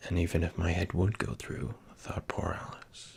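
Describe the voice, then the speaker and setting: At a fairly slow pace, the speaker whispers. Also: man. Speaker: ASMR creator. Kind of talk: storybook reading. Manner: soft-spoken.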